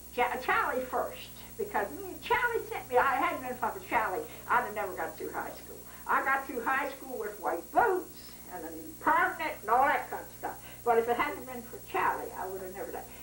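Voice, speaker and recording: Over noticeable background noise, a woman's high voice makes very wide pitch swings. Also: moderate pace, big swings in loudness. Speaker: family storyteller. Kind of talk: interview answer. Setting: home recording.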